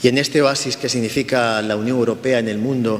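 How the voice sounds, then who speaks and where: A man of medium pitch talks at a moderate pace with fairly even intonation. Noticeable background noise can be heard. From Spain. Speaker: cultural institute director. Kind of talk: interview. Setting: institute in the UK.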